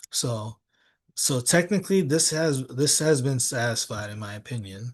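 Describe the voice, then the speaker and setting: Somewhat breathy, a man speaks at a moderate pace with ordinary pitch variation. The background is quiet. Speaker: trading educator. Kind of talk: live trading tutorial. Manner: halting, many fillers.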